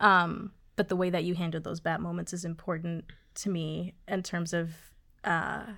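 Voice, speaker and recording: The recording is very clean, its background silent. A woman talks in a fairly low pitch. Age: 20s. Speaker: podcast co-host. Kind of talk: casual chat.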